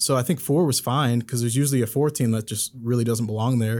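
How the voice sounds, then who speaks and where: With a normal speaking voice and an American accent, a man talks at a medium pitch with ordinary pitch variation in a very clean recording with a silent background. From Chicago area, Illinois (Aurora). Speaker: sports journalist. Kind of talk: casual interview. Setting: studio.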